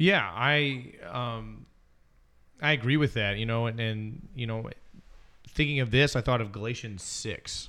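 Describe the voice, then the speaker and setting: In an American accent, the speaker uses a bright, sharp tone with ordinary pitch variation. The pace is fairly slow, broken by long, frequent pauses. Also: man, medium pitch for a man. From Alabama, US South. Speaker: youth minister and podcast co-host. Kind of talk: casual discussion podcast.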